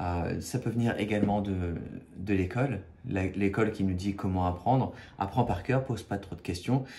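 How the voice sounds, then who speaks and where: With audible room echo, a man speaks in a fairly low pitch, his tone dark and mellow and somewhat breathy. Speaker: spiritual video creator. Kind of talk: spiritual talk to camera. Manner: halting, many fillers and repetitions.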